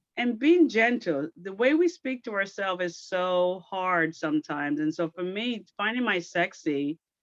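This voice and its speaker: A woman with a Jamaican accent speaks with lively intonation and hardly any pauses, her voice dry and close with no echo. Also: medium pitch for a woman, moderate pace. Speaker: military veteran and audience participant. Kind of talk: casual group chat.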